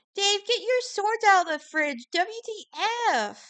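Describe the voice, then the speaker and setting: In a put-on character voice, a woman speaks fairly slowly, extremely high-pitched and squeaky, with lively intonation. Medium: solo performance. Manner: whiny, exasperated.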